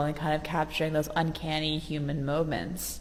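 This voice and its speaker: Someone with an American accent speaks at a moderate pace, with audible room echo and noticeable background noise. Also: woman. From US, Baltimore, Maryland. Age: 20s. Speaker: visual artist. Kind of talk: interview.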